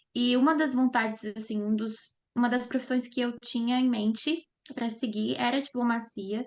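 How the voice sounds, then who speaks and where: A woman with an ordinary speaking voice talks at a moderate pace in a fairly high pitch. Her intonation is fairly even. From Brazil, Minas Gerais. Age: 20s. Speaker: lawyer and master's student. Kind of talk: interview.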